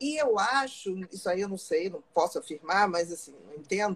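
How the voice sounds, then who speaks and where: A woman talks with lively intonation at a medium pitch. Hers is an ordinary speaking voice. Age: 50s. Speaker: psychiatrist. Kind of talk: casual chat.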